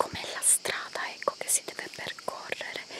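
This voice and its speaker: A woman whispers in a soft-spoken way over loud background noise. The sound is dry with no echo. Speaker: vlogger. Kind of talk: casual vlog chat. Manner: soft ASMR whisper while walking. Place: forest. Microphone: phone near.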